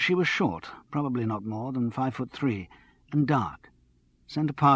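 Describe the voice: The delivery is plain reading aloud. Pitch variation is ordinary.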